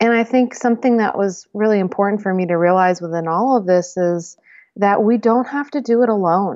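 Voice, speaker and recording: In a plain, everyday voice with an American accent, the speaker talks with ordinary pitch variation. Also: woman, medium pitch for a woman, fairly quick pace. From US Northeast. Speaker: herbalist and intuition teacher. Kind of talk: casual chat.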